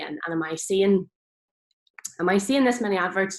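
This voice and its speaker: A woman in a Northern Irish accent at a moderate pace, with ordinary pitch variation. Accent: Northern Irish, noticeable. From Northern Ireland. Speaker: farmer and social media speaker. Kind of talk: presentation talk. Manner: hesitant, many fillers.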